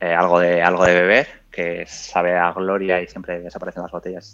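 A man speaks with a very deep, low pitch. His intonation is monotone and flat against a quiet background. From Spain, Burgos. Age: 30s. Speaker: amateur marathon runner. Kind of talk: interview.

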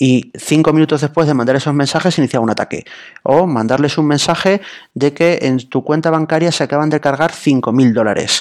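A man speaks at a fairly quick pace with a fairly high pitch and ordinary pitch variation. His loudness stays very even in a normal speaking voice. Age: 30s. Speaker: journalist. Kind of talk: casual interview.

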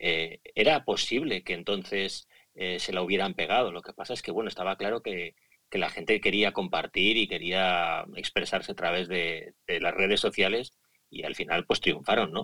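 Speaking at a moderate pace, a man has a fairly low, bright and sharp voice with ordinary pitch variation, recorded dry and close with no echo. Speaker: podcaster. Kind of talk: casual chat. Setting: Twitter Spaces live audio room.

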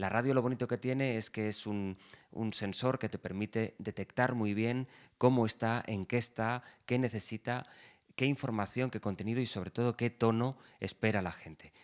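With a normal speaking voice, a man talks at a medium pitch and moderate pace with fairly even intonation, in a dry, close sound with no echo on a very clean recording with a silent background. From Valencia region, Spain (Ribera, Alberic). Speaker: radio journalist. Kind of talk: interview conversation.

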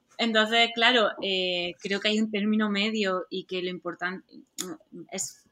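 A woman is speaking. Her pace is fairly slow. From southeastern Spain. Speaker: actress and stunt double. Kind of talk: interview.

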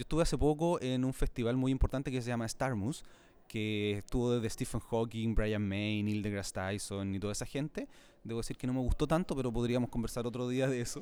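Speaking with a Chilean accent, a man has a dark, mellow tone and a fairly quick pace. The recording is very clean, with a silent background. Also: medium pitch for a man, ordinary pitch variation. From Chile, Santiago. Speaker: astronomy podcaster and science communicator. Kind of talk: casual interview. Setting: convention centre.

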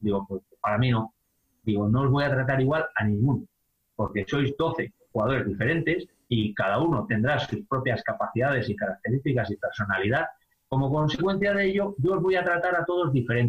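Somewhat breathy and very even in loudness, the voice moves at a fairly quick pace with very wide pitch swings. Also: man, medium pitch for a man. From Spain, Palencia (Castilla y León). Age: 50s. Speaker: basketball coach and high school teacher. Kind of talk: interview.

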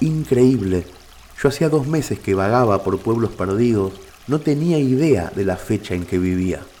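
A man's voice leaps through very wide pitch swings amid noticeable background noise. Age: 40s. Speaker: writer and narrator. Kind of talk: scripted narration.

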